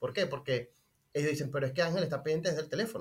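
A man's voice comes through somewhat breathy and fairly high in pitch. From Venezuela, Maracay. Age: 30s. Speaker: restaurant owner. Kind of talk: interview.

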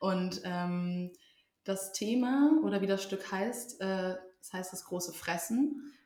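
With audible room echo, a woman speaks at a very slow pace in a dark, mellow tone at a medium pitch, with ordinary pitch variation and big swings in loudness. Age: 20s. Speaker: social work student and amateur actor. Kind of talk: casual chat. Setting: at a table in the host's home.

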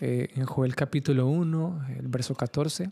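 Somewhat breathy, a man with a fairly high pitch talks with fairly even intonation. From Colombia, Caribbean coast (Carmen de Bolívar). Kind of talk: solo podcast monologue, devotional teaching. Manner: halting, many fillers and repetitions.

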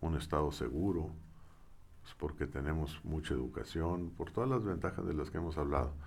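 In audible room echo, a man with a very deep, low pitch and vocal fry speaks at a moderate pace with ordinary pitch variation. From Mexico, Saltillo. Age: 60s. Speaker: engineer and former university head. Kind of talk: interview.

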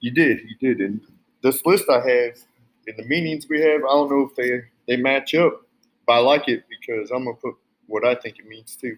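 Speaking in an American country accent, a man at medium pitch has a playful tone, ordinary pitch variation, a moderate pace, big swings in loudness and long, frequent pauses. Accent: American country twang. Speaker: cowboy co-host. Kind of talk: casual chat. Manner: laid-back, playful.

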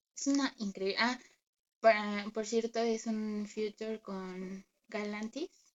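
Fairly even in intonation, a woman speaks at a very slow pace. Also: long, frequent pauses. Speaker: podcast co-host. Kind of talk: casual chat.

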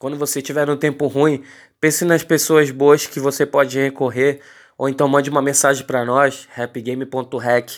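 Delivered in a flat monotone at a moderate pace, the speech comes through a very clean recording with a silent background. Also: man, fairly high pitch for a man. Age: 20s. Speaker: podcast host and rap label manager. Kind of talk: casual monologue podcast answering listener questions. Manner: casual, with frequent filler words.

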